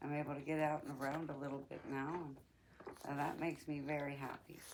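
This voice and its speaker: Her intonation stays monotone and flat. This woman's pitch is very deep and low. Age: 60s. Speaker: podcast host. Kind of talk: personal reflection monologue. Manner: conversational, with hesitations.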